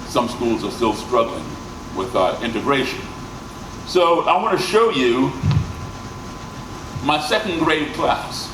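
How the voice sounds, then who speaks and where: A man with an American accent, fairly high pitch for a man and very wide pitch swings, at a fairly slow pace with long, frequent pauses, amid noticeable background noise and audible room echo. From grew up abroad and in the US. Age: 60s. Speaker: musician and speaker. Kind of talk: presentation to audience. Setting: stage with audience.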